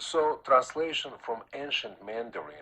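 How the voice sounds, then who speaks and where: A man is speaking. He talks with a Russian accent. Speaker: Taoist master and author. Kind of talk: radio interview. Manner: halting, many fillers.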